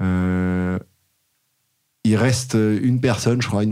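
A man speaks in a dark, mellow tone with ordinary pitch variation. He takes a very slow pace. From Paris, France. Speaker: tech startup founder. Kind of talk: casual interview. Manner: animated.

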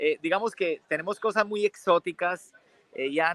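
With a bright, sharp tone, a man speaks at a moderate pace in a dry, close sound with no echo. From Colombia, Bucaramanga, Santander. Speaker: tourism entrepreneur. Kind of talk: interview.

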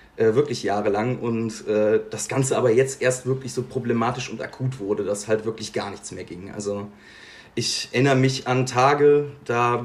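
This man's voice sits at a medium pitch and is somewhat breathy. He speaks at a fairly slow pace with fairly even intonation. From Bergisches Land, western Germany. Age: 20s. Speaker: podcast guest sharing mental health story. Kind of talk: personal testimony in interview.

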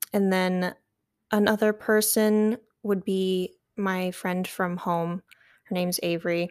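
A woman with an American accent speaks at a very slow pace, leaving long, frequent pauses. Her medium-pitched delivery is monotone and flat, on a very clean recording with a silent background. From eastern Michigan, near Detroit. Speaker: college student. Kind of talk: casual interview.

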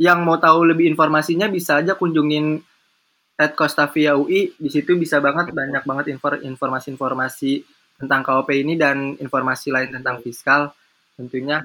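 Bright and sharp in tone, a man with a fairly high pitch talks at a fairly quick pace in fairly even intonation. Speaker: student podcast host. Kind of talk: casual chat.

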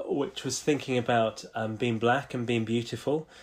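A man talks with a British accent. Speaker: podcast co-host. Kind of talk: casual conversation. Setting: video call.

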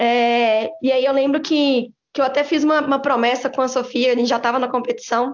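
Speaking at a fairly quick pace, a woman keeps her high voice at very even loudness, with monotone, flat intonation. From Brazil, Belo Horizonte (Minas Gerais). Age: 20s. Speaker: former student engineering team member, bank employee. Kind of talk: casual interview chat.

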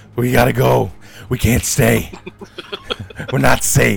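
In a put-on character voice, a man speaks at a fairly slow pace with a very deep, low pitch and very wide pitch swings, over faint music in the background. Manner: frantic, urgent, clipped.

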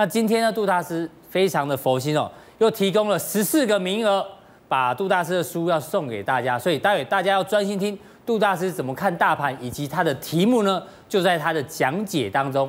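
Lively intonation marks this man's speech. He talks at a high pitch. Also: fairly quick pace. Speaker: TV finance show host. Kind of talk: TV talk show hosting. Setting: TV studio.

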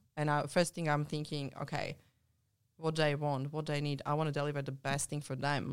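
This woman has a very deep, low voice and a non-native accent. The recording is very clean, with a silent background. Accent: foreign-accented English. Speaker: mentor and ultramarathon runner, business coach. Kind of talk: casual chat.

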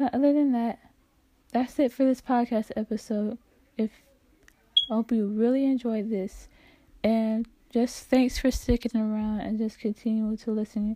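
Her voice is fairly high in pitch with a dark, mellow tone and monotone, flat intonation, moving at a moderate pace with long, frequent pauses, and the woman sounds dry and close with no echo. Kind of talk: casual faith podcast outro. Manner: halting, jumbled words.

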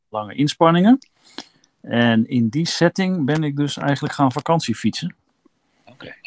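A man's voice at a moderate pace, with long, frequent pauses, lively intonation, big swings in loudness, and a dry, close sound with no echo. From eastern Netherlands, Kampen. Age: 50s. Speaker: long-distance cyclist. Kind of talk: interview, casual chat. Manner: halting, many filler words.

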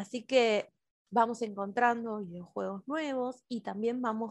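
Over a quiet background, a plain, everyday voice speaks at a fairly slow pace. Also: woman. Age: 30s. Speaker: educator and play therapist. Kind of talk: interview.

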